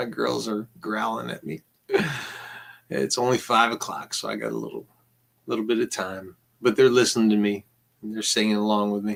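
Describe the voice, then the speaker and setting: A man's fairly quick speech broken by long, frequent pauses. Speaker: vlogger recounting court visits. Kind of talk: casual vlog monologue. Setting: at home. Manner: halting, repetitive.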